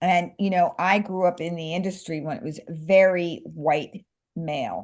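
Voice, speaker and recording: A woman speaks at a fairly slow pace with a New York accent, her pitch fairly low and ordinary in its variation. Her loudness swings widely. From Staten Island, New York, US. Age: 60s. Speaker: screenwriter and social media creator. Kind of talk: interview. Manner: animated.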